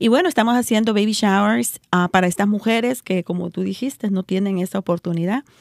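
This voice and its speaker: A normal speaking voice from a woman, medium in pitch, with ordinary pitch variation and a fairly quick pace, on a very clean recording with a silent background. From El Salvador. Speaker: pro-life volunteer. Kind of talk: testimony.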